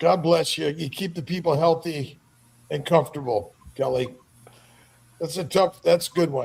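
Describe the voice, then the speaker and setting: Vocal fry at a moderate pace, with ordinary pitch variation and long, frequent pauses. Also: man, fairly high pitch for a man. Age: 70s. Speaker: doctor and podcast host. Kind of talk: casual chat. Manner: halting, with repeated words.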